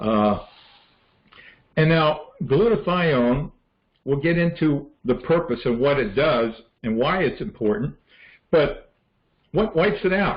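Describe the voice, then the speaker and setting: Very slowly and with long, frequent pauses, a man with a fairly high pitch speaks with lively intonation and very even loudness. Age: 60s. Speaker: supplement advisor in a support group call. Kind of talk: informal talk on a group call. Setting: group phone call. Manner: conversational with many fillers.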